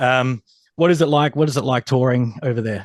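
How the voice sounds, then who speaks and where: A man speaks at a medium pitch with ordinary variation. The sound is dry and close with no echo, against a quiet background. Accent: Australian. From Australia. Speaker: music interviewer. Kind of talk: interview.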